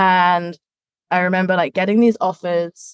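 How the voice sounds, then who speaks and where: A woman with an English accent speaks at a fairly low pitch. The sound is dry and close, with no echo. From England. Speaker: education industry manager. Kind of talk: interview.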